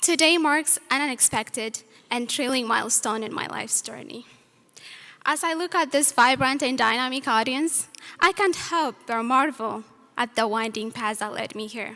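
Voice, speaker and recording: Her voice is raised and projected, pitched high. The woman's tone comes across bright and sharp. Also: ordinary pitch variation, moderate pace. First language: not English. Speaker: student speaker. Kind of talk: graduation speech. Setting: stage with audience. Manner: formal.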